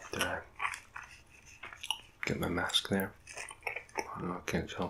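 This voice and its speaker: Someone soft-spoken whispers at a very slow pace against noticeable background noise. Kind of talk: ASMR eating video, casual talk to camera. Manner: soft-spoken, whispery.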